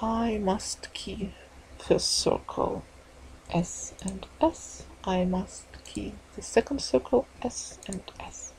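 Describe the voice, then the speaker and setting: A woman at a very slow pace, big swings in loudness, noticeable background noise. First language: not English. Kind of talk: tutorial. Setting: screen recording voiceover. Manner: halting, apologetic.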